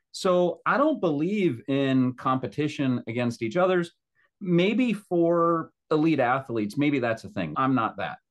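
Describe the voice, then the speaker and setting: A man with an ordinary speaking voice talks at a fairly slow pace, his fairly high pitch carrying lively intonation. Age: 40s. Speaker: podcast co-host, business executive. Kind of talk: casual chat.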